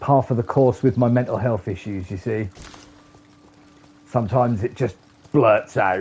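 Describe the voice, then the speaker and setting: There is noticeable background noise. Over it, a man speaks at a fairly low pitch and moderate pace. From England. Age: 40s. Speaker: gaming streamer. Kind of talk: live gameplay stream chat. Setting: streaming from a PlayStation console.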